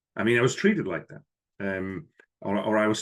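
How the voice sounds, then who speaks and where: Over a quiet background, a man with a fairly low pitch talks at a moderate pace with a slight Swiss accent. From Switzerland, village near Lucerne. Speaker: business professor. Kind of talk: podcast interview.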